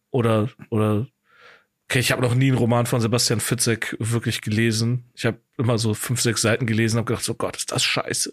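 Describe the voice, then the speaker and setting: A man talks at a very fast pace in a medium pitch, monotone and flat. The recording is very clean, with a silent background. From Germany, Cologne (Deutz). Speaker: podcast host, comedian. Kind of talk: casual chat.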